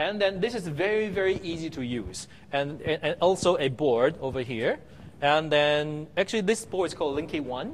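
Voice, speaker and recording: This man's voice sits fairly high in pitch. He speaks with lively intonation. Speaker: university professor presenting at a conference. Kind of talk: conference talk. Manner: fast; halting, many fillers.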